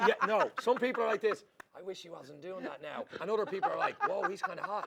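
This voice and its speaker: A man with a Dublin accent talks at a very fast pace, his animated tone carried by big swings in loudness. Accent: Dublin Irish. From Ireland, Dublin. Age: 40s. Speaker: comedy show co-host. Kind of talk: casual chat.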